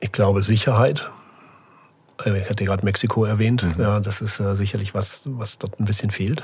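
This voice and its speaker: A man talks at a moderate pace with fairly even intonation and a fairly low pitch. It is a normal speaking voice. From Germany, Böblingen/Sindelfingen area (Swabia). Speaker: startup incubator CEO. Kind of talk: casual interview.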